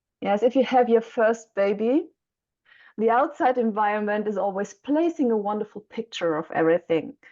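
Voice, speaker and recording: Speaking with a German accent, a woman has a fairly high pitch and a dark, mellow tone. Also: lively intonation, moderate pace, quiet background. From Germany. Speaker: mentor for young mothers. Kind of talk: interview. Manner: halting.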